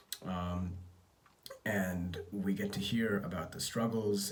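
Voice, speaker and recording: A somewhat breathy man's voice, fairly low in pitch, with audible room echo. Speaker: entrepreneur vlogger. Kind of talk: casual vlog update. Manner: understated; halting.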